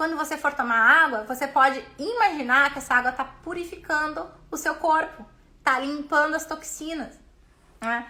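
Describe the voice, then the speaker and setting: In a raised, projected voice, a woman speaks with a high pitch, a bright, sharp tone and ordinary pitch variation. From Brazil. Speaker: business mentor and coach. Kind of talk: live stream talk. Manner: fast; animated.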